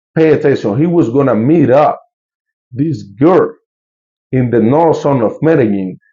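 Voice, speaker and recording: Speaking with a Colombian accent, a man uses a dark, mellow tone at medium pitch with ordinary pitch variation. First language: Spanish. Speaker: YouTuber and local tour guide. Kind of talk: casual news commentary to camera. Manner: casual, halting with many fillers.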